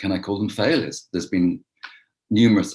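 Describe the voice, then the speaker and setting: With an English accent, a man speaks at a very fast pace using ordinary pitch variation. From England, London. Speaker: real estate investor. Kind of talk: interview.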